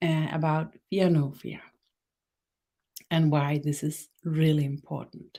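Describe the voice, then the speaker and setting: At a very slow pace, a woman speaks with a fairly low pitch and a dark, mellow tone. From Denmark. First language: Danish. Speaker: spiritual teacher. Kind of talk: guided meditation; webinar talk. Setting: live stream webinar. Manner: halting.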